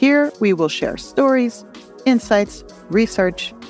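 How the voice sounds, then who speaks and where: Over music in the background, a woman talks at a fairly slow pace with lively intonation. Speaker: holistic life coach and podcast host. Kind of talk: podcast intro.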